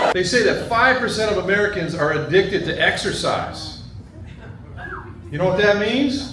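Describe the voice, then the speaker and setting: Raised and projected, a man's high-pitched voice carries at a moderate pace with long, frequent pauses, amid audible room echo and noticeable background noise. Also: ordinary pitch variation. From New England. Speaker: stand-up comedian. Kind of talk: stand-up. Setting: stage with audience.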